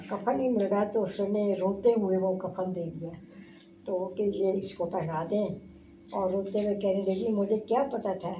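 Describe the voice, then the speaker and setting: A woman's medium-pitched voice carries fairly even intonation against noticeable background noise. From India. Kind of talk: interview answer.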